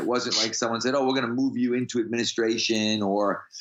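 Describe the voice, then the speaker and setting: This man has a normal speaking voice, medium in pitch with ordinary variation. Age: 50s. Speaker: strength coach. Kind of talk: casual interview.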